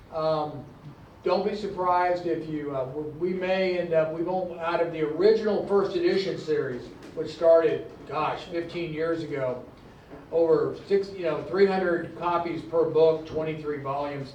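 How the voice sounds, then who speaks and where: A man speaks in a high pitch at a moderate pace with fairly even intonation. There is audible room echo and noticeable background noise. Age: 60s. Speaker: publisher and former oil field engineer, convention panelist. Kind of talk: convention panel talk. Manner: halting, many fillers and restarts.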